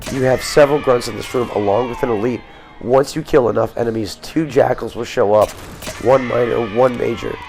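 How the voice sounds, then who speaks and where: Fairly quick speech with fairly even intonation and music in the background. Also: man, medium pitch for a man. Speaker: game walkthrough commentator. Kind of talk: gameplay walkthrough commentary.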